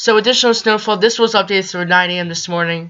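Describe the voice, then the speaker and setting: A woman talks with a shaky voice. It is fairly low in pitch, with fairly even intonation. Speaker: amateur weather youtuber. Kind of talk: weather forecast video. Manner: halting.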